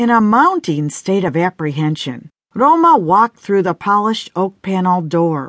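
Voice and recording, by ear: With lively intonation, a passage is read aloud in a natural voice while the background stays quiet.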